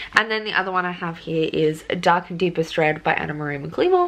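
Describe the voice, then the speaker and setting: Over noticeable background noise, a woman talks at a fairly quick pace with an Australian accent. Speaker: book vlogger. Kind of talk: casual vlog. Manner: hesitant, many fillers.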